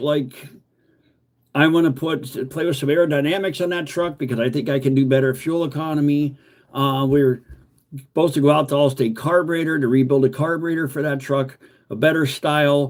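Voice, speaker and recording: A man speaks at a moderate pace with fairly even intonation and a fairly high pitch. His is an unremarkable speaking voice. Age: 50s. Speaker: car restoration YouTuber. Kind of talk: livestream chat. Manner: rambling with many fillers.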